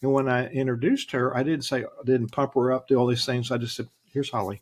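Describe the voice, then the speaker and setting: A man with an American accent speaks at medium pitch in a flat monotone. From US South. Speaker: leadership strategist. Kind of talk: interview.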